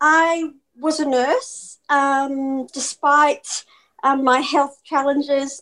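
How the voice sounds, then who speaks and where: On a very clean recording with a silent background, a woman with an Australian accent talks very slowly in a high, monotone, flat voice. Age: 40s. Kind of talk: interview.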